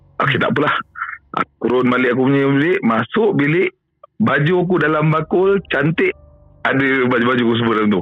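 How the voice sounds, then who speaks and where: Speaking at a fairly quick pace with a Malaysian accent, this voice has lively intonation and very even loudness. Long, frequent pauses break up the speech while music plays in the background. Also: man, fairly high pitch for a man. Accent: Malaysian Malay. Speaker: caller, former university student. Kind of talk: casual storytelling. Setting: phone call. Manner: rambling, casual.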